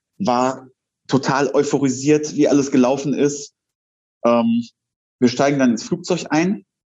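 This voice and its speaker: Fairly high-pitched, a man speaks at a fairly slow pace. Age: 40s. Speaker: wrestler and firefighter. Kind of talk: interview. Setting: video call.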